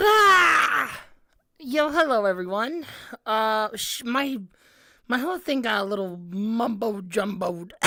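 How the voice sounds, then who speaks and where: Speaking at a very slow pace with long, frequent pauses, a woman's fairly high, bright, sharp voice makes very wide pitch swings amid audible room echo. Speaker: vtuber streamer. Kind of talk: casual live stream chat. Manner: animated, halting.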